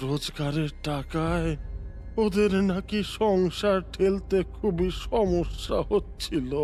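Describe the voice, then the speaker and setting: A put-on character voice at a middle pitch and a very slow pace, over clear background noise. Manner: weeping, stammering.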